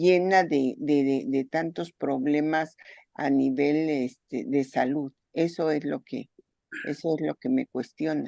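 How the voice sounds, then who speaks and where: Very slowly, a woman with a very deep, low, dark and mellow voice speaks with ordinary pitch variation. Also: dry, close sound with no echo. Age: 60s. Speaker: participant in an online talk. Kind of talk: casual discussion.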